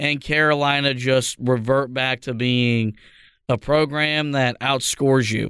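The tone is bright and sharp, with fairly even intonation. The pace is fairly slow. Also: man, very clean recording, silent background. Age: 20s. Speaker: sports podcast host. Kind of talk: casual sports discussion.

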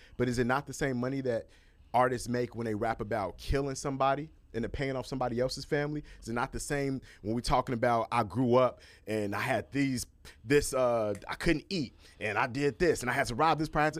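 With an American accent and an unremarkable speaking voice, a man talks at a fairly quick pace and a medium pitch, with ordinary pitch variation, on a very clean recording with a silent background. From Chicago, US Midwest. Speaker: entertainment journalist and TV host. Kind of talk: casual chat.

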